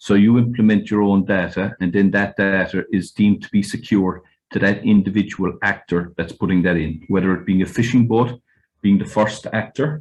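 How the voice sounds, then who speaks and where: A man's fairly low voice with a West Cork accent, fairly even intonation and a moderate pace, against a quiet background. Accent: West Cork Irish. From Ireland, West Cork. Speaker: fishing industry representative. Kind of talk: webinar panel talk. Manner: hesitant, many fillers.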